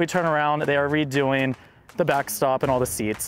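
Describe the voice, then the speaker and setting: Clear music plays behind a man speaking at a fairly quick pace. The sound is dry with no echo. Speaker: team media host. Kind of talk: casual vlog tour commentary. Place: stadium. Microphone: phone near.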